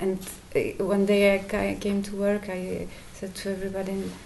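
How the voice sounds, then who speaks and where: A woman speaks with a Polish accent. Her intonation is monotone and flat. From Poland. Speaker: satsang attendee asking question. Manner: halting.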